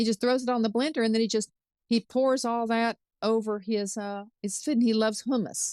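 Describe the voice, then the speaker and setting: A woman at a fairly quick pace, an unremarkable speaking voice, fairly high in pitch, with fairly even intonation and a dry, close sound free of echo. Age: 60s. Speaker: chef. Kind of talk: interview.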